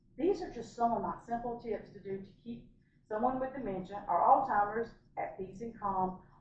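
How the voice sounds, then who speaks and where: Heard with audible room echo, a woman speaks with ordinary pitch variation. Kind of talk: casual vlog talk to camera. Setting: hotel room. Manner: fast.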